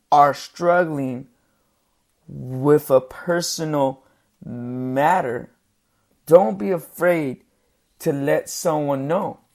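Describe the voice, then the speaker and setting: On a very clean recording with a silent background, a man with a fairly high pitch and ordinary pitch variation speaks at a very slow pace, with long, frequent pauses. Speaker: podcast host. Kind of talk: solo podcast monologue. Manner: halting with repeated syllables.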